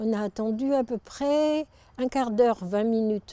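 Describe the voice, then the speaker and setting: Her tone dark and mellow, a woman talks at a very slow pace with ordinary pitch variation. The sound is dry and close, with no echo. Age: 70s. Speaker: local resident. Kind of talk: personal anecdote.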